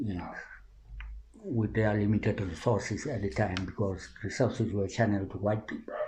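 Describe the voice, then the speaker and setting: Here a man speaks at a fairly low pitch, with a dark, mellow tone and a somewhat breathy sound. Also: ordinary pitch variation, moderate pace. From South Africa, Roodepoort West (Gauteng). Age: 70s. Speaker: community-based researcher. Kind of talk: interview, reminiscing. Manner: halting with repetitions.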